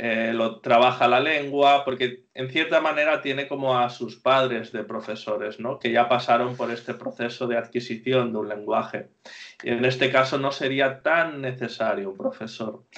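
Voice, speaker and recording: A man talks in an unremarkable speaking voice. His pace is moderate and his intonation fairly even. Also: medium pitch for a man. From Spain. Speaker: Spanish teacher. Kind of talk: interview.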